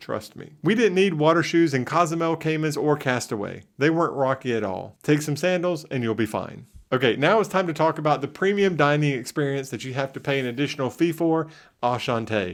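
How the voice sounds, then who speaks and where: In a very clean recording with a silent background, a man talks with a Southern US accent. His fairly high voice has lively intonation and moves at a fairly quick pace. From US South. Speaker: travel vlogger. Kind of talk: travel review tips.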